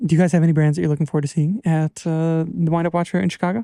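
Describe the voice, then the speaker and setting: Dry and close with no echo, the recording catches a high-pitched man with a dark, mellow tone and ordinary pitch variation. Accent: American. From Wisconsin, US Midwest. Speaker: podcast host. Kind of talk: casual chat. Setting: studio.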